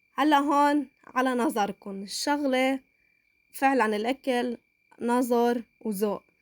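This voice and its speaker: Recorded dry and close with no echo, a woman speaks at a high pitch with ordinary pitch variation. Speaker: cooking channel host. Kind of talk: cooking tutorial. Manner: halting.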